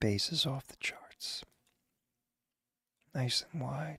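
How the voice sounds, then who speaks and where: Someone whispers quietly. The pace is very slow. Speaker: music review livestream host. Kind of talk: live reaction stream. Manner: quiet, near whisper.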